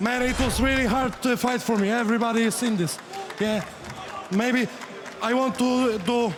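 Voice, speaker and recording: Over crowd noise and audible room echo, a man with a Polish accent speaks at an extremely high pitch and a moderate pace, using fairly even intonation, very even loudness, and long, frequent pauses. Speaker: kickboxer. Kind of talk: post-fight interview. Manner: halting.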